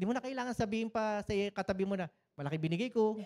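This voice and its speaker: This man talks with lively intonation and an animated tone, recorded very cleanly against a silent background with a dry, close sound and no echo. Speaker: pastor. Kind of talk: sermon.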